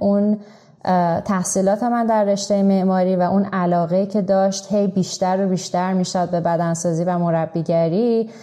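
At a moderate pace, a woman speaks at medium pitch with monotone, flat intonation and very even loudness. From Iran. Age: 30s. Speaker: fitness and nutrition coach. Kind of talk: interview.

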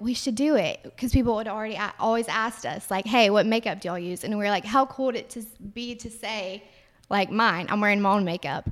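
On a very clean recording with a silent background, a woman with a Southern US accent speaks at a fairly high pitch with fairly even intonation. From Alabama. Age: 20s. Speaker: cosmetics entrepreneur. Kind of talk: interview.

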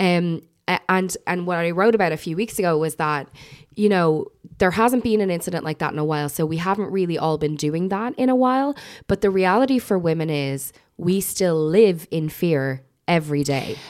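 With an Irish accent, a woman speaks at a moderate pace in a fairly low pitch with lively intonation. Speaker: podcast host. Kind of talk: casual chat.

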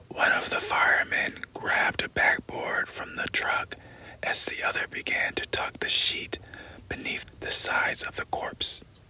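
Someone whispers at a fairly slow pace. Noticeable background noise can be heard. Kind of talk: ASMR audiobook reading of a novel excerpt. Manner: slow, hushed, soft-spoken, intimate; measured, suspenseful, dramatic narration.

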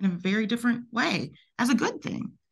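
A woman speaks with a Southern US accent. Her voice is somewhat breathy. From US South. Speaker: podcast host, architect. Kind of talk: interview.

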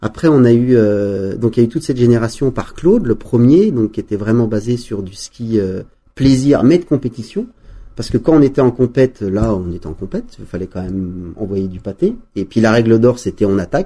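At a moderate pace, a man speaks in a medium-pitched, dark, mellow voice with lively intonation and big swings in loudness. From French Alps, Savoie. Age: 40s. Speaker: former pro skier. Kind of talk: interview. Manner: halting, with frequent repetitions.

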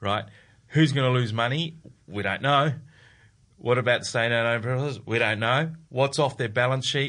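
A man with an Australian accent speaks in a bright, sharp tone at a moderate pace. His intonation stays fairly even over a quiet background. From South Australia, Adelaide. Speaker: investment fund executive. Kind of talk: casual chat.

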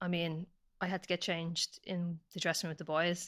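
A woman with an Irish accent at a very fast pace, bright and sharp in tone, fairly low in pitch, flat and monotone, in a very clean recording with a silent background. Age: 30s. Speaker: professional footballer. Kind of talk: casual interview chat.

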